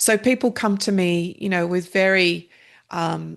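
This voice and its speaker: Against a quiet background, a woman with an Australian accent speaks at a fairly low pitch with fairly even intonation. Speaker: meditation practitioner and author. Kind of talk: podcast interview.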